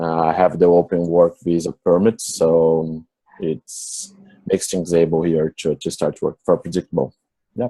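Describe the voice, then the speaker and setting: With a Portuguese accent, a man talks fairly slowly in a very deep, low voice of dark, mellow tone, his intonation monotone and flat, the sound dry and close with no echo. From Brazil, São Paulo. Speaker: software developer. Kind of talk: interview. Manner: halting.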